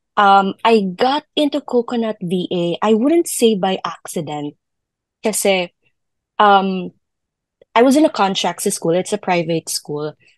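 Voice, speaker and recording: At a very slow pace, the voice carries lively intonation, heard with a dry sound with no echo against a quiet background. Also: woman, medium pitch for a woman. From Philippines. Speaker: virtual assistant, former teacher; former teacher. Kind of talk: casual interview. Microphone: video call.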